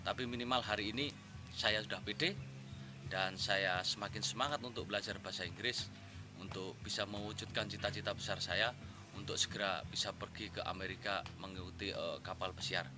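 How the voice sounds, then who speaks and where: Over music in the background, a man speaks fairly quickly at a fairly low pitch with ordinary pitch variation. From Central Java (Wonosobo). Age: 30s. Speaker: language course student. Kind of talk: testimonial.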